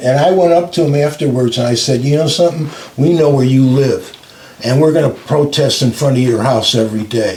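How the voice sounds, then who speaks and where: Fairly quick and fairly high-pitched, a man speaks with very even loudness and ordinary pitch variation over noticeable background noise. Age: 80s. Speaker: civil rights attorney. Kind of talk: interview answer.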